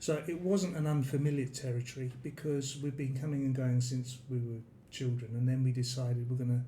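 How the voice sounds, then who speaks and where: A somewhat breathy man with a dark, mellow tone, medium pitch and fairly even intonation, plus audible room echo. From London, England. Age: 60s. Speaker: expat retiree. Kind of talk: interview. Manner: hesitant.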